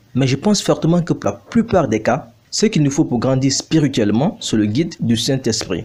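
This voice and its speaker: Somewhat breathy and fairly high in pitch, a man talks at a fairly quick pace with lively intonation and a non-native accent. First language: not French (speaking French). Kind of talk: bible teaching video. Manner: formal.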